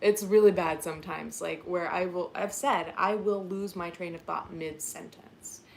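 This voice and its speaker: This woman has a fairly low pitch. Her intonation stays fairly even. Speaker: YouTuber and podcast host. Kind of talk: casual live-stream chat. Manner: rambling with tangents.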